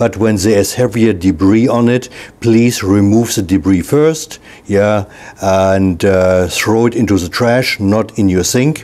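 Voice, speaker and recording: A man's fairly low-pitched voice at a fairly slow pace, with noticeable background noise. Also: ordinary pitch variation. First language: not English. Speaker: product reviewer / home video maker. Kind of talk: tutorial. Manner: casual, halting with fillers.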